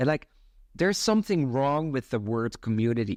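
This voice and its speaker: A man speaks with a Dutch accent, the sound dry and close with no echo. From Netherlands. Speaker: community founder. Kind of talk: casual chat.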